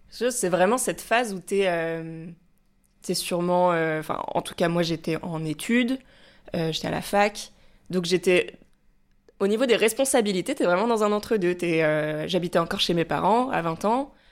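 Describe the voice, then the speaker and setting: A woman speaks at a moderate pace with long, frequent pauses, in a very clean recording with a silent background. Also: medium pitch for a woman, ordinary pitch variation. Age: 20s. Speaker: theatre writer. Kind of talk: casual chat. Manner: halting.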